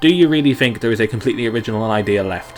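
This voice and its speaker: A man talks at a very fast pace with lively intonation. Noticeable background noise runs underneath. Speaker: game development streamer. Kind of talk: live stream Q&A. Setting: live stream. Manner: animated.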